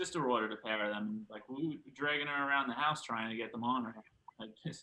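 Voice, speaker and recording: In a New York accent, a man of medium pitch talks at a very fast pace with ordinary pitch variation. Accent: New York City. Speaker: powerlifter. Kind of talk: podcast conversation.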